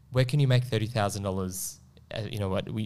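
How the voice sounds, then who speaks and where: Spoken at a very fast clip with an Australian accent, the voice moves through ordinary pitch variation. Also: man. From Melbourne, Australia (Northcote). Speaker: property investment advisor. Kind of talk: casual chat. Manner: halting, many repetitions.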